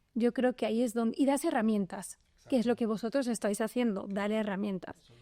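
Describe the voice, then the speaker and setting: A woman with a fairly high pitch and a dark, mellow tone speaks at a fairly quick pace with ordinary pitch variation. The sound is dry and close, with no echo. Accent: Spanish. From Spain. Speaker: venture capital lawyer. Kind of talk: podcast interview.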